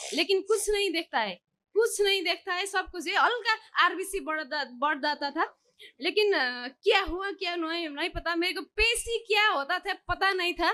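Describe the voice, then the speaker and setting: A woman in a Nepali accent, with an extremely high pitch, a raised, projected voice, a bright, sharp tone and lively intonation. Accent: Nepali-accented Hindi. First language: Nepali (speaking Hindi). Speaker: devotee seeking healing. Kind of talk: testimony. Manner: halting.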